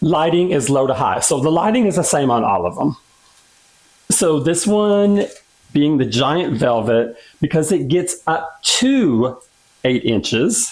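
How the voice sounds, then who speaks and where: Speaking at a fairly slow pace, a man with a fairly high pitch keeps his loudness very even while his pitch swings very widely. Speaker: aquascaping youtuber. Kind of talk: unboxing tutorial. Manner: casual, thinking aloud.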